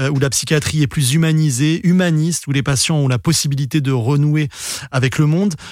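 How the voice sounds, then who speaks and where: With a plain, everyday voice, a man speaks at a fairly high pitch, a moderate pace and fairly even intonation on a very clean recording with a silent background. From Senegal. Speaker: podcast host, film journalist. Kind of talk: interview.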